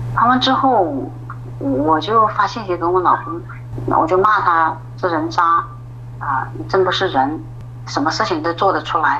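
A woman talks at a fairly slow pace. Noticeable background noise and audible room echo are present. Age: 40s. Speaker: office clerk telling her marriage story. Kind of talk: personal testimony in a call-in interview.

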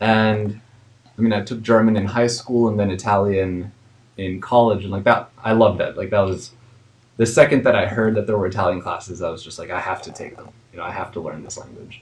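An ordinary speaking voice from a man, fairly low in pitch, at a fairly quick pace, with fairly even intonation and big swings in loudness. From United States, Spanish-speaking home. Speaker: English teacher and social media creator. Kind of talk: casual interview.

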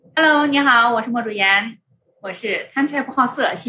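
This is a woman speaking. Her pitch is high. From Shanxi. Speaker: podcaster. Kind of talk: casual chat. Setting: in-person meetup over drinks.

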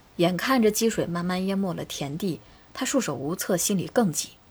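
A woman with a calm tone and lively intonation speaks at a moderate pace, her fairly low voice somewhat breathy. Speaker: podcast host. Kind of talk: scripted narration.

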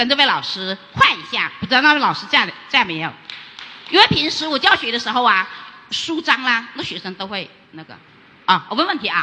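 Fairly high-pitched woman at a fairly quick pace, with very wide pitch swings and noticeable background noise. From Guangxi, Liuzhou. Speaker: rural teacher. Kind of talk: audience question. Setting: stage with audience.

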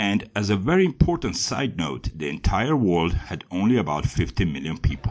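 A man with a German accent speaks at a very deep, low pitch with vocal fry and very wide pitch swings. He keeps a moderate pace with hardly any pauses. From Germany. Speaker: history podcaster. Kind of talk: scripted narration.

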